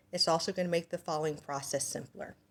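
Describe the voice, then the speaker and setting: This woman has a normal speaking voice. Her pitch is fairly low. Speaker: hair braider; hair braiding demonstrator. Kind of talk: tutorial. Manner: casual, with fillers. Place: home room. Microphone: phone near.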